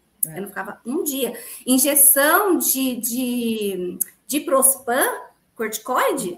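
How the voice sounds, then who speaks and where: Speaking at a very slow pace, a woman uses a high-pitched voice with very wide pitch swings. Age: 40s. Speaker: dentist and gluten-free baker. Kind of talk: interview testimony.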